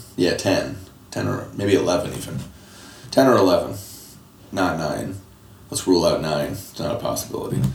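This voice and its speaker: A man with an American accent talks at a moderate pace, leaving long, frequent pauses. Noticeable background noise and audible room echo fill the recording. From Michigan, Detroit area. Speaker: screenwriter. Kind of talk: interview conversation.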